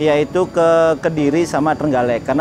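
Noticeable background noise is present. The speaker is a man. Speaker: car channel vlogger. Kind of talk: casual vlog chat. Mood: cheerful, laughing. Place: street.

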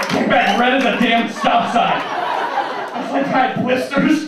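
With strong room echo and noticeable background noise, a man with an American accent speaks at a moderate pace and extremely high pitch, with ordinary pitch variation. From New York. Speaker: stand-up comedian. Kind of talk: stand-up comedy set. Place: stage.

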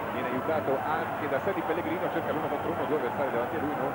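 A man talks at a very fast pace. Loud background noise fills the dry recording, which has no echo. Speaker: sports commentator. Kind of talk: live ice hockey play-by-play commentary.

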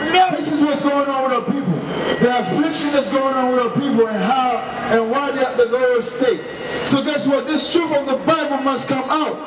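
There is noticeable background noise as a man speaks at a moderate pace with fairly even intonation. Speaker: street preacher. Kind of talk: street sermon. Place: street.

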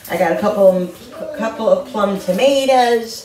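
In a room with audible echo, a woman with a dark, mellow tone and medium pitch talks at a moderate pace with ordinary pitch variation.

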